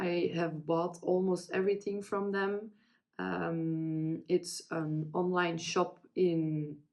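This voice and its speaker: This woman has a Dutch accent, a fairly low pitch, and fairly even intonation. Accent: non-native English, Dutch-speaking. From Belgium. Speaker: crafting vlogger. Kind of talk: casual chat. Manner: halting, many fillers.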